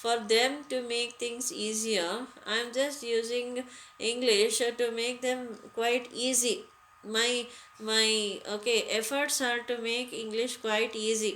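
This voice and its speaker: With an Indian accent, a woman speaks at a very slow pace and high pitch, her intonation fairly even, amid audible room echo. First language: Hindi. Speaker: English teacher. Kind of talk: lecture. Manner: halting, many fillers.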